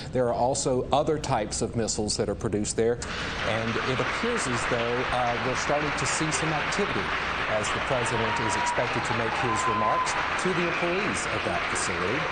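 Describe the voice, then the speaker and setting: Over crowd noise in the background, a medium-pitched man with an American accent talks at a fairly quick pace with very even loudness. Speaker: television news anchor and reporter. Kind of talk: live special report anchoring.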